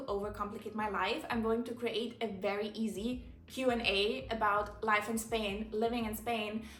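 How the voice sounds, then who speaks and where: Against noticeable background noise and audible room echo, a woman speaks in an animated tone at a fairly high pitch. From Germany. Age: 20s. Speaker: content creator. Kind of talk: casual Q&A vlog monologue. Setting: home living room, recording alone.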